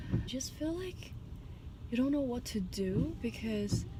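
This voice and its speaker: A woman with a Chinese accent speaks at a fairly slow pace. Audible room echo surrounds her, and music plays in the background. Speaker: dental student vlogger. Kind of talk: casual vlog. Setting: in a car.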